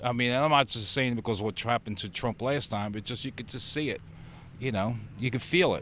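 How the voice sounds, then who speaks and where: In a plain, everyday voice, a man at medium pitch talks at a fairly quick pace with ordinary pitch variation. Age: 60s. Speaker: voter interviewed on street. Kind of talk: casual street interview.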